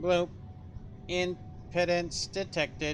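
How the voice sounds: A man uses a put-on, robotic character voice pitched high. Clear background noise is present.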